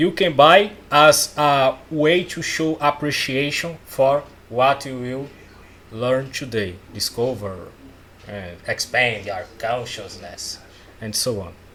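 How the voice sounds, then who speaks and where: With a non-native accent, a man speaks very slowly at a fairly high pitch, using lively intonation and big swings in loudness. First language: not English. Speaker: self-help coach. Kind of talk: casual talk-style course. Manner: halting.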